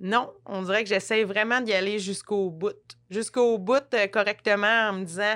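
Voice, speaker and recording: The recording is very clean and the background silent. A woman is the one talking. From rural Quebec. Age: 30s. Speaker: actress. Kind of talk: casual chat. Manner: animated.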